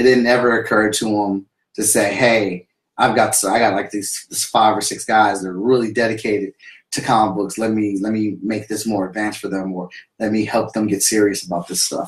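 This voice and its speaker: Audible room echo on a man's fairly low voice at a fairly quick pace, against a quiet background. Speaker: comic book creator and vlogger; comic book creator, vlogger. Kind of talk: casual livestream monologue. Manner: enthusiastic; halting. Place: home room. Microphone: webcam.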